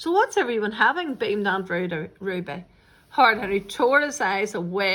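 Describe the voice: Someone is doing plain reading aloud.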